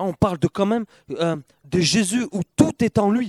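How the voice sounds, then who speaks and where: A man talks in an animated tone with lively intonation. The sound is dry and close, with no echo. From Perpignan, southern France. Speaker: church member sharing testimony. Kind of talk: testimony at church gathering.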